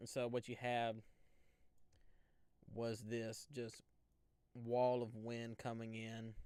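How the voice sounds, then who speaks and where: Speaking in an Alabama accent, a man has a dark, mellow tone and monotone, flat intonation. He goes at a very slow pace with long, frequent pauses. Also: medium pitch for a man. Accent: Southern US (Alabama). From US South, Central Alabama. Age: 20s. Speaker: storm chaser and weather livestreamer. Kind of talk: casual live stream chat with viewers. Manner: casual, conversational.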